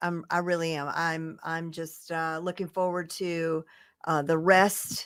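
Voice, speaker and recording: A woman's fairly low voice with a Southern accent, on a very clean recording with a silent background. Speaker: digital marketing expert. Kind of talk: casual chat on livestream.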